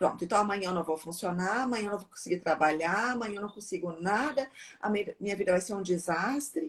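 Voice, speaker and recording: Somewhat breathy, a woman talks at a moderate pace and a medium pitch. Her pitch varies in an ordinary way. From southern Brazil, Porto Alegre. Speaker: psychiatrist. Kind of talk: live Q&A conversation. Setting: Instagram live video.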